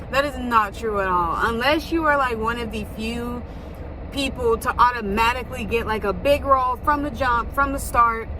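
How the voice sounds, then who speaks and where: Heard with audible room echo and noticeable background noise, a woman speaks with ordinary pitch variation. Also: fairly high pitch for a woman, moderate pace. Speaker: vlogger, actress and model. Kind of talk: casual vlog talk. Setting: in a car.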